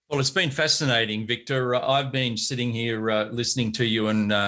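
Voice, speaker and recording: Against noticeable background noise, a man with a medium-pitched voice speaks at a moderate pace with fairly even intonation. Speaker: podcast host. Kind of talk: casual interview.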